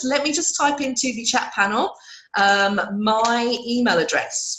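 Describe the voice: A woman speaks with a fairly high pitch and a fairly bright, croaky tone. Her voice carries audible room echo.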